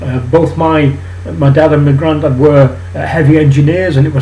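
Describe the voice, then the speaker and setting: A man with a Mancunian accent at a fairly high pitch, very wide pitch swings and a moderate pace, amid audible room echo and noticeable background noise. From northern England, Manchester. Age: 60s. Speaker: political commentary vlogger. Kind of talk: personal monologue vlog. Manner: hesitant, many fillers and restarts.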